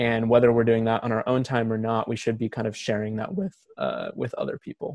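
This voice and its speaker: With an unremarkable speaking voice, a man talks fairly quickly at a medium pitch, his intonation fairly even and the sound dry and close with no echo. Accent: American. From Oregon, US. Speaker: film critic and editor. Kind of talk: casual chat. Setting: video call.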